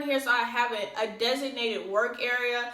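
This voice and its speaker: The woman's voice is high-pitched. There's audible room echo and noticeable background noise. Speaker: lash business owner and vlogger. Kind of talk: casual vlog talk. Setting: home office. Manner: fast.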